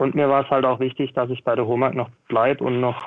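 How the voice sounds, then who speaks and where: His pitch is medium. The man talks at a moderate pace. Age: 20s. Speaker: field service technician. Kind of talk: interview.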